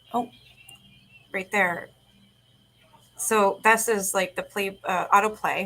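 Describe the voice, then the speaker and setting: Long, frequent pauses from a woman with a medium pitch and a bright, sharp tone. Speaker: true crime livestreamer. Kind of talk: casual chat. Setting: livestream. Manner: fast.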